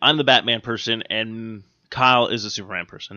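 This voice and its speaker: This man speaks at a medium pitch. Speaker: comic book podcast host. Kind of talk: casual chat. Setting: studio. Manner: rambling, filler-heavy.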